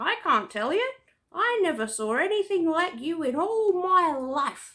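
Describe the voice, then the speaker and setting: In a put-on character voice pitched extremely high, the speaker goes at a fairly slow pace with very wide pitch swings. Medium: read story. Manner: teasing, saucy.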